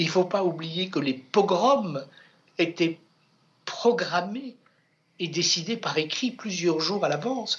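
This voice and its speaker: Speaking at a very slow pace with long, frequent pauses, a man uses a high pitch and lively intonation. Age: 70s. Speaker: book editor and author. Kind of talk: interview. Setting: bookshop. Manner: halting.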